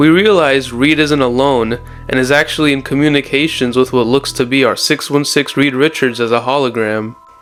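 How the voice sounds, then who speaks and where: Music plays in the background as a man speaks at a fairly quick pace. His medium pitch carries fairly even intonation at very even loudness. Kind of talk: comic book commentary video. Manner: casual, irreverent.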